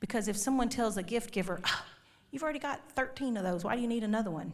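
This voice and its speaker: In a room with audible echo, a woman with a Texan accent speaks in an animated tone with ordinary pitch variation. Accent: Texan Southern US. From Texas. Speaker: conference speaker. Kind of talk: marriage talk to church audience. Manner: animated, humorous.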